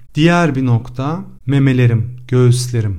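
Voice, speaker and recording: Here a man speaks at a medium pitch and a fairly slow pace, with ordinary pitch variation. His tone is dark, mellow and somewhat breathy. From Cyprus. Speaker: podcast host, actor. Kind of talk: personal confessional monologue.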